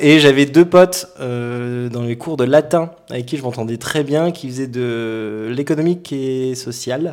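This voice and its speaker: Over noticeable background noise, a man speaks at a very slow pace with hardly any pauses, a medium pitch, ordinary pitch variation and big swings in loudness. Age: 30s. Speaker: energy healer. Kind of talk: casual chat.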